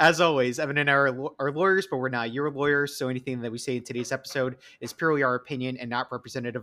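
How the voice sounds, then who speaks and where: Over noticeable background noise, a man with an American accent speaks at medium pitch. He goes at a very fast pace with hardly any pauses and fairly even intonation. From New York. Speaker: podcast host. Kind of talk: casual chat. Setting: remote recording.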